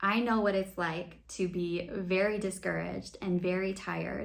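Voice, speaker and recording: A woman with an American accent, fairly low-pitched, at a moderate pace with hardly any pauses and ordinary pitch variation, amid noticeable background noise. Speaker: expat vlogger. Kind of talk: advice talk to camera.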